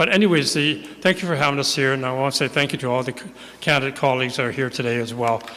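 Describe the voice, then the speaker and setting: A man with a Canadian accent at a very fast pace, ordinary pitch variation, and noticeable background noise. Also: medium pitch for a man. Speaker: city councillor running for re-election. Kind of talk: candidate opening speech. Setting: church hall, stage with live audience. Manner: fast, sometimes mumbling.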